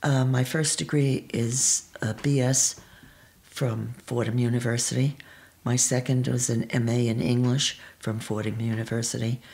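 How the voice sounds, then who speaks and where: A woman with a New York accent speaks at a fairly slow pace in a very deep, low pitch, with monotone, flat intonation and very even loudness. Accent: New York American. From New York, Pelham (Westchester). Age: 80s+. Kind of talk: interview.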